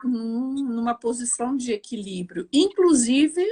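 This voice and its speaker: Lively intonation comes through a dry, close sound with no echo against a quiet background. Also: woman. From Brazil, Mato Grosso. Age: 60s. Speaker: judge. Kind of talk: interview. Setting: livestream.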